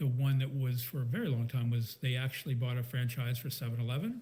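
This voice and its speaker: A man's somewhat breathy, medium-pitched voice at a fairly quick pace, with fairly even intonation. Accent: American. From Maryland, rural. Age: 60s. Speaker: serial entrepreneur. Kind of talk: interview. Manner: casual, hesitant with fillers.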